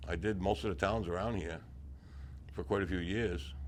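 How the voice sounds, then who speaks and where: In a New England accent, a man with a very deep, low pitch talks at a moderate pace with ordinary pitch variation, and audible room echo surrounds him. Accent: rural New England. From north-central Massachusetts. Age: 70s. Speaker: retired town trapper. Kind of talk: oral history interview. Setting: senior center.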